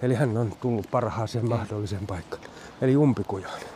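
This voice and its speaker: Noticeable background noise sits behind a man speaking at a moderate pace. His pitch is medium. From Finland, Loviisa. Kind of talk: walking interview. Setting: outdoors, walking.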